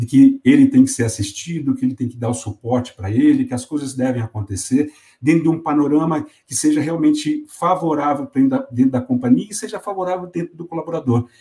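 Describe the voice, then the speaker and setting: The voice has a dark, mellow tone and is somewhat breathy. It moves at a fairly quick pace with lively intonation. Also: man, fairly high pitch for a man. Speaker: company executive. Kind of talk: interview.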